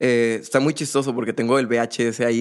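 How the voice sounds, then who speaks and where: This is an ordinary speaking voice with fairly even intonation at a moderate pace. The background is quiet. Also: man. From Monterrey, Mexico. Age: 20s. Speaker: drummer. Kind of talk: casual interview chat.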